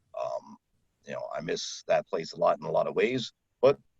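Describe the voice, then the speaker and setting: A man speaks at a moderate pace with an American accent. The sound is dry and close, with no echo. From Maryland, USA, now in Florida. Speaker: voice-over artist, former radio broadcaster. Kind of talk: casual interview answer about his career.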